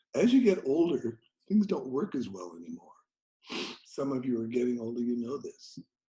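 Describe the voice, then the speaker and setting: A man's somewhat breathy, dark, mellow voice at medium pitch, with very wide pitch swings, big swings in loudness and a moderate pace. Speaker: aikido teacher. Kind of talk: lecture.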